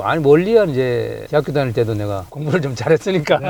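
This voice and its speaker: At a very fast pace, a man with medium pitch talks with lively intonation. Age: 60s. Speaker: auto mechanic. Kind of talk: casual interview chat.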